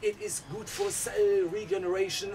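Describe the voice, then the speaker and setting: A man at a moderate pace, monotone and flat, over light background noise. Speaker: host of a mindset channel. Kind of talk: casual vlog chat. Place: garden. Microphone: phone near.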